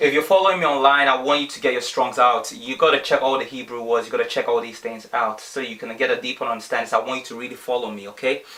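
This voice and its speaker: A man talks at a very fast pace. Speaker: bible teacher. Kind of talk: bible teaching livestream.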